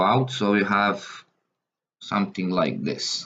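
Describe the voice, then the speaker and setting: With a Serbian accent, a man speaks very slowly in a fairly low, flat monotone over light background noise. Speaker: math tutor. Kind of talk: tutorial. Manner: halting, with frequent fillers. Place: home room.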